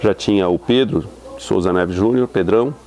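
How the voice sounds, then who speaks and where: The speaker is a man with a fairly low pitch. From Brazil, São Paulo city. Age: 60s. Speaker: university professor. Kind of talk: interview testimony. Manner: hesitant, many fillers.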